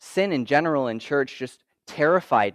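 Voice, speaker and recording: In an unremarkable speaking voice, a man with a fairly high pitch talks at a moderate pace with ordinary pitch variation, in a quiet background with a dry, close sound and no echo. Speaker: student ministry intern giving a talk. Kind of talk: testimony talk.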